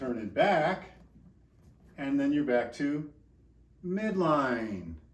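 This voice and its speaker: A man speaks very slowly at a fairly high pitch, his voice swinging very widely up and down. Room echo is audible. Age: 60s. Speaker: exercise physiologist and movement coach. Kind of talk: instructional tutorial. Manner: energetic, informal.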